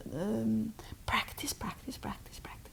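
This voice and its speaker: A woman speaks with a Norwegian accent. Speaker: spiritual teacher. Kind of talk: interview. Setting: Oslo. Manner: halting.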